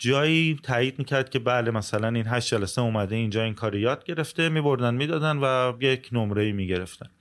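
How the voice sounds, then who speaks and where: A man of medium pitch with an unremarkable speaking voice talks at a fairly quick pace with hardly any pauses, ordinary pitch variation and very even loudness, in a very clean recording with a silent background. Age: 40s. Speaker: music business owner. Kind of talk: casual interview.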